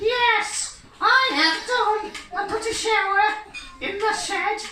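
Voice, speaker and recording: A put-on character voice moves at a very slow pace, with a slight echo around it. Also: man, extremely high pitch for a man. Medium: stage play. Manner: deadpan, blunt, cheeky.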